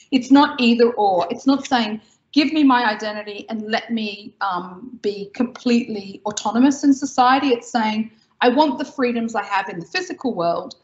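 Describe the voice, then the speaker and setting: With an Australian accent, a woman talks at a moderate pace, her pitch fairly high and its variation ordinary. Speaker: tech company founder; interviewee. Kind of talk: interview. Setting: video call. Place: home room. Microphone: video call.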